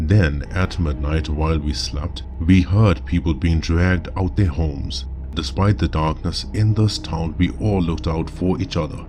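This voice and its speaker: Over noticeable background noise, a man speaks with a very deep, low pitch and ordinary pitch variation. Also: moderate pace. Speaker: storyteller. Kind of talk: horror story narration.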